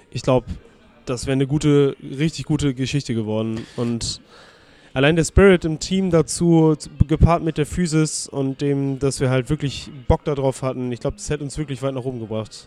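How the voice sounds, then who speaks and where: A man with a dark, mellow tone and a fairly high pitch speaks at a moderate pace. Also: ordinary pitch variation. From northern Germany, near Bremen. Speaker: amateur American football player. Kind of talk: interview. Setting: restaurant by the river.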